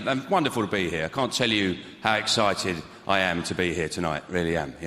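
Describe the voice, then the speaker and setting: Noticeable background noise sits behind a man with a very deep, low pitch. He talks very fast with lively intonation. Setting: live show, on stage. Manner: sounds insincere, sarcastic.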